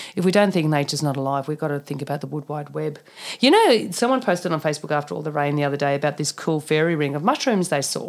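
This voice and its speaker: Recorded very cleanly against a silent background, a woman with an Australian accent talks at a very fast pace in an animated tone, her very deep, low voice showing ordinary pitch variation. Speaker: naturopath and functional medicine practitioner. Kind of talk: interview.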